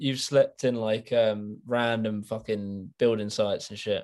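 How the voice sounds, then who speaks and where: With an ordinary speaking voice, a man talks at a fairly slow pace and medium pitch, using ordinary pitch variation and hardly any pauses. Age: 20s. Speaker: youtuber interviewer. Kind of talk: casual interview. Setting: video call.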